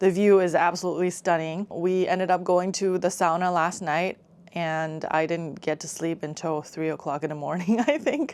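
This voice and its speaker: A woman's unremarkable speaking voice, fairly low in pitch, at a moderate pace with hardly any pauses. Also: ordinary pitch variation. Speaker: travel vlogger. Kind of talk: casual vlog narration. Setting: on a ferry.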